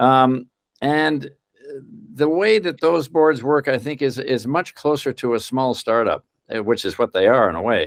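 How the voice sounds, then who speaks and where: Against a quiet background, a man with an unremarkable speaking voice talks at a moderate pace and medium pitch, his intonation lively and the sound dry and close with no echo. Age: 60s. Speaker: corporate board director, governance expert. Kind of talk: interview. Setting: podcast.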